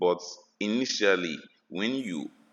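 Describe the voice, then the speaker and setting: A man's voice comes across dry and close, with no echo. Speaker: forex trading teacher. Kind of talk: tutorial. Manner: fast.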